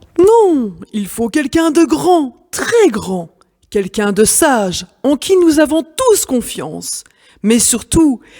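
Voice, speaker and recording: A woman puts on a character voice, calm in tone and fairly slow, with very wide pitch swings. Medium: read story. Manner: firm, calm.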